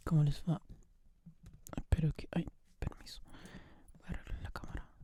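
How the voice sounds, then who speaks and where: A woman whispers at a moderate pace. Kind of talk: ASMR whisper talk to camera. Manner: soft-spoken, whispering.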